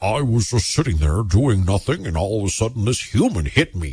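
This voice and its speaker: A man's put-on character voice, fairly low in pitch, at a fairly quick pace. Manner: mocking, comical.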